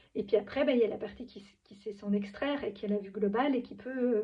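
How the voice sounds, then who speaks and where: A woman speaks at a fairly quick pace with a fairly high pitch. Her voice is somewhat breathy, with fairly even intonation. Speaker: spiritual vlogger. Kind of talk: improvised monologue. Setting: at home, in pyjamas. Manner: halting.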